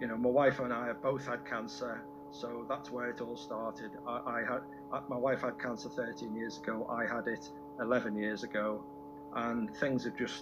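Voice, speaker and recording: A man's voice swings very widely in pitch. Music plays behind him. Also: medium pitch for a man, moderate pace. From Warrington, England. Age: 70s. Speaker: cancer survivor and charity fundraiser, amateur songwriter. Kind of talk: radio interview answer.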